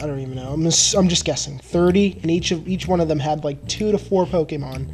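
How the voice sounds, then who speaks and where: A man talks at a fairly high pitch with ordinary pitch variation and a fairly quick pace. Music plays in the background. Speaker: gaming video commentator. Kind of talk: let's play commentary. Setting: voice recorded over sped-up gameplay with music. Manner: stuttering.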